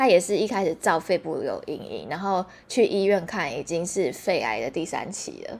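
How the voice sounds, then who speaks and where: A woman with a medium pitch talks at a moderate pace, captured on a very clean recording with a silent background. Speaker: podcast host. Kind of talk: casual chat.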